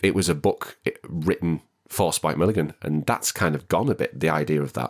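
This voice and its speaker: A man's very deep, low voice in a northern English accent, with vocal fry and ordinary pitch variation, on a very clean recording with a silent background. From northwest England. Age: 30s. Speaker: actor and singer. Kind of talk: casual chat.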